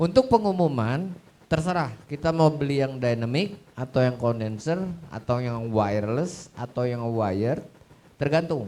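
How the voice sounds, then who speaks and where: Using lively intonation, a man talks at a fairly slow pace. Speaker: audio system expert. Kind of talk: Q&A talk on stage. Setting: stage with audience at showcase event. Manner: animated.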